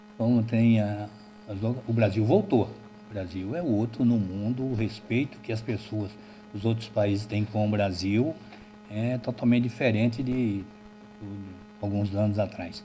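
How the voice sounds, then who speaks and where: Fairly low male voice, fairly slow and fairly even, with long, frequent pauses and music in the background. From Alagoas, Brazilian Northeast. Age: 60s. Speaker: local party chairman. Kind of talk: interview.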